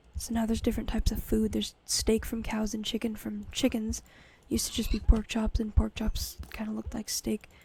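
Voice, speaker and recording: A woman's quiet voice at a fairly quick pace. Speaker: gaming YouTuber. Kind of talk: gameplay commentary. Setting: home recording late at night. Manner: quiet, close-mic ASMR-style talk; casual, hesitant with fillers.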